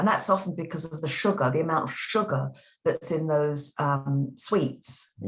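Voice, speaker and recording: Her voice is very deep and low for a woman, and somewhat breathy. She speaks at a fairly slow pace with ordinary pitch variation. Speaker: voice teacher. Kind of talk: interview answer.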